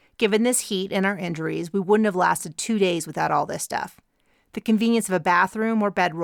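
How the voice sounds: Against a quiet background, a natural reading voice moves with ordinary pitch variation.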